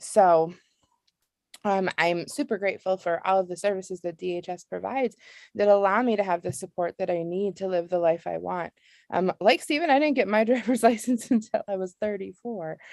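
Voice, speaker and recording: This woman has a plain, everyday voice at a medium pitch with ordinary pitch variation. She talks at a fairly quick pace, and the sound is dry and close with no echo. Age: 30s. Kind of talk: panel testimony. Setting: webinar.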